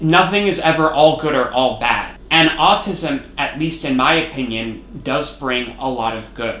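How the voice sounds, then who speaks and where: Over noticeable background noise, a man with a fairly high pitch and ordinary pitch variation talks at a fairly slow pace with hardly any pauses. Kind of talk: personal educational monologue. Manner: loud at times.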